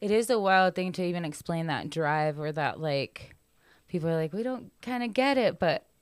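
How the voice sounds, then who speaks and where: On a very clean recording with a silent background, a woman with an American accent has an unremarkable speaking voice, fairly low in pitch with ordinary pitch variation. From US national parks, Mexican family. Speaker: comedian and podcast host. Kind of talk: casual chat.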